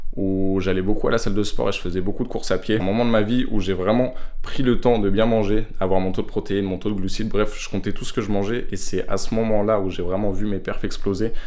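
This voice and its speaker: Amid audible room echo, a man with a fairly low pitch talks fairly quickly in monotone, flat intonation, with hardly any pauses. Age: 20s. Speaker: aspiring triathlete vlogger. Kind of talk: vlog. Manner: casual.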